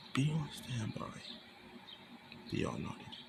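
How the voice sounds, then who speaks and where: A man whispering at a very slow pace, with noticeable background noise. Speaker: fan fiction storyteller. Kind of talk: reading aloud own fan story; casual intro to camera. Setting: at home at night. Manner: whispering, hushed.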